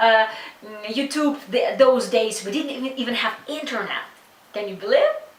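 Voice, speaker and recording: At a moderate pace, a woman with a high pitch and ordinary pitch variation talks with long, frequent pauses, over noticeable background noise and audible room echo. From Ukraine. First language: Russian or Ukrainian. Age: 30s. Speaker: matchmaker. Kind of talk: interview. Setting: office. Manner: halting.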